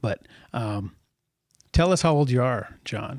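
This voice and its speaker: A man with a plain, everyday voice speaks at a moderate pace and a medium pitch. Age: 40s. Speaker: podcast host. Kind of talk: interview.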